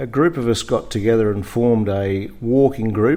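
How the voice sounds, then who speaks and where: A man's medium-pitched voice in a rural Australian accent, dark and mellow in tone, with ordinary pitch variation. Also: quiet background. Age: 60s. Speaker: farmer. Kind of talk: interview. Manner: halting, many fillers.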